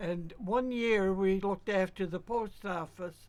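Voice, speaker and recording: Amid noticeable background noise, the speech comes at a fairly slow pace in a Cape Breton accent with fairly even intonation. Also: woman. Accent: Cape Breton Canadian. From Cape Breton, Nova Scotia. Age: 90s. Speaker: retired telegraph operator. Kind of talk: interview. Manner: halting.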